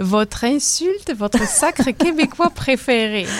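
With a southern French accent, a woman speaks at a fairly slow pace, her pitch swinging very widely, amid noticeable background noise. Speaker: radio host. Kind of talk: radio interview.

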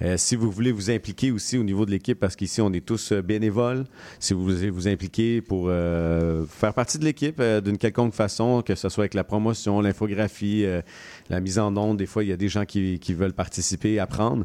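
A man speaks at a fairly quick pace in a fairly low pitch, his dark, mellow tone captured dry and close with no echo, in a very clean recording against a silent background, with ordinary pitch variation and very even loudness. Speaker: radio host. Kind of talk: radio show interview. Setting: radio studio.

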